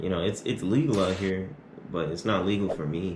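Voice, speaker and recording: A man with a very deep, low voice and vocal fry, speaking in an American accent. There is audible echo in the room. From Arizona. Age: 20s. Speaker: YouTuber. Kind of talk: Q&A vlog. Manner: casual.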